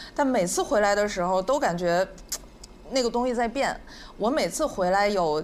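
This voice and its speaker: Her loudness very even, a woman with a medium pitch and lively intonation speaks at a moderate pace, leaving long, frequent pauses. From Northeast China. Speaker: podcast guest. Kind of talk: live podcast chat. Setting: stage with audience.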